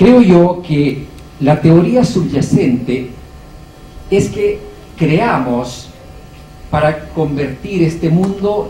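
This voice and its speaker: Amid noticeable background noise and audible room echo, a man speaks very slowly with lively intonation. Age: 60s. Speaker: architecture professor. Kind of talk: panel discussion.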